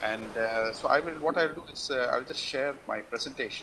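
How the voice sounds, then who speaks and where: Noticeable background noise sits behind this voice. A man talks at a moderate pace. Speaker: scientist, invited speaker. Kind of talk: lecture. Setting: video call. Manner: halting.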